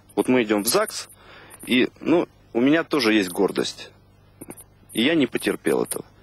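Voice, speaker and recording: A man with a fairly high pitch talks at a moderate pace, with a dry sound with no echo. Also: long, frequent pauses. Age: 20s. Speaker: reality show contestant. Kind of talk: casual chat. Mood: earnest, slightly aggrieved. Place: garden. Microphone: handheld.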